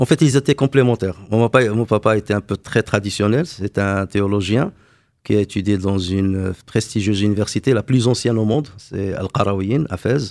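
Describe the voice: On a very clean recording with a silent background, a man speaks at a fairly quick pace in a fairly low pitch, with a slightly mellow tone and fairly even intonation.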